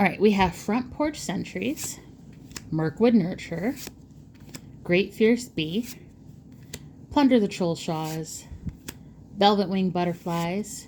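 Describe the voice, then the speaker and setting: The speaker goes at a very slow pace with long, frequent pauses. The intonation is lively. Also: woman, medium pitch for a woman. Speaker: card game content creator. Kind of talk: pack opening video.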